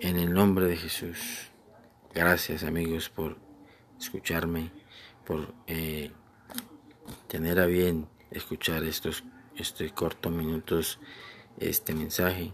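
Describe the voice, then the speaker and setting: A man with a very deep, low pitch speaks very slowly in a gentle tone, his flat, monotone delivery broken by long, frequent pauses. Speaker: preacher. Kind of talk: devotional sermon, warm pastoral address to listeners. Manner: gentle, earnest, unhurried, with repeated phrases and pleading exhortation; formal, reverent, with frequent fillers and restarts.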